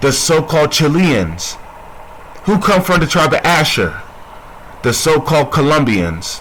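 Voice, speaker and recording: A man speaks at a fairly high pitch and fairly slow pace with lively intonation and very even loudness. Long, frequent pauses break his speech, and noticeable background noise is present. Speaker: religious teacher. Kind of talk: bible teaching. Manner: soft-spoken; repetitive, call-and-response questions.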